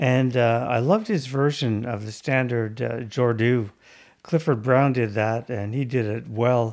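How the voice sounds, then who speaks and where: A man speaks in an ordinary speaking voice at medium pitch and a fairly slow pace, with fairly even intonation, in a very clean recording against a silent background. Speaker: radio host. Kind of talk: radio DJ patter, announcing and back-announcing jazz tracks. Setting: radio studio broadcast. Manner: even, warm, conversational announcer delivery; measured, informative, with occasional 'uh' fillers.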